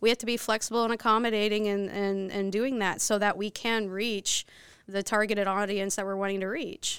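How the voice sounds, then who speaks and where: With an American accent, a woman of medium pitch talks at a fairly quick pace in a monotone, flat intonation. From Texas, Dallas area. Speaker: missionary. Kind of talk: interview.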